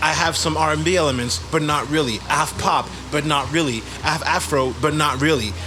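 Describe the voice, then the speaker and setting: A man's fairly high voice at very even loudness, with audible room echo and noticeable background noise. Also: ordinary pitch variation, fairly quick pace. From Gabon. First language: French. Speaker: musician. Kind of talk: interview.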